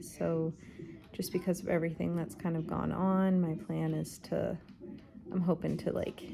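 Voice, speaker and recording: A woman speaks quietly. Her pitch is fairly low. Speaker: vlogger. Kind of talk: personal vlog. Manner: quiet, keeping voice down.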